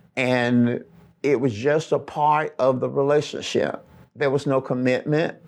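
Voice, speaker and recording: A man with a Southern US accent speaks at a very slow pace. His voice is fairly high, and the background is quiet. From US South, Alabama. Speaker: pastor. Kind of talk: sermon. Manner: animated.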